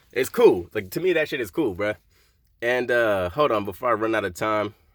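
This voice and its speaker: The man's speech moves at a moderate pace with lively intonation. He has a plain, everyday voice at a medium pitch. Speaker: vlogger living in a van. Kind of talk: casual vlog monologue.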